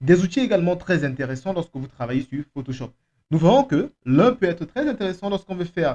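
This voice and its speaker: In a dry, close recording with no echo, a man with a non-native accent speaks in a dark, mellow, somewhat breathy tone. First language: not French (speaking French). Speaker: software trainer. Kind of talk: tutorial.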